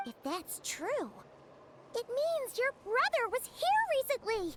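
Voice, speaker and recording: Loud background noise accompanies a put-on character voice pitched extremely high and delivered at a fairly slow pace. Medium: video game. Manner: chatty, animated.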